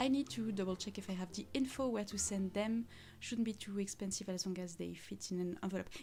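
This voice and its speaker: A woman speaks fairly quickly in a French accent, her voice somewhat breathy with a dark, mellow tone. Her pitch sits in the medium range, and her intonation stays fairly even. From France. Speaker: crafter and costume maker streamer. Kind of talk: casual live stream chat. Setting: live stream with chat. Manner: hesitant with many fillers.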